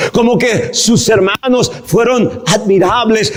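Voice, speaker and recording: With noticeable background noise around him, a man talks at a very slow pace. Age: 60s. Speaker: pastor. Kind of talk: sermon. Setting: church.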